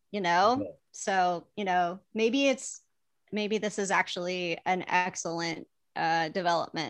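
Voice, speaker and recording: A woman with an American accent speaks at a fairly slow pace against a quiet background. She has an ordinary speaking voice, medium in pitch, with ordinary pitch variation. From US Midwest. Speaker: TV development executive and comedy producer. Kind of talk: casual chat.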